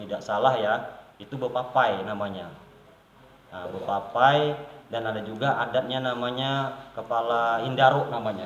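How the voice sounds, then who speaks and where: With a slight South Kalimantan accent, a man speaks at a moderate pace and medium pitch with ordinary pitch variation, amid audible room echo and noticeable background noise. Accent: slight Banjar. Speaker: village official. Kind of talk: interview.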